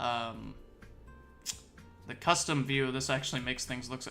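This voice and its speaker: With music in the background, a man talks at a medium pitch. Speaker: options trading streamer. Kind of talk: live market commentary. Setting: live stream with screen share.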